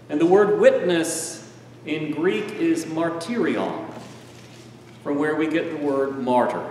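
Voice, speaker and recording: A man's high-pitched voice at a very slow pace, with ordinary pitch variation, audible room echo and light background noise. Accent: American. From United States. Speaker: preacher. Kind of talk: sermon. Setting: church. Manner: animated, personal storytelling. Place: church.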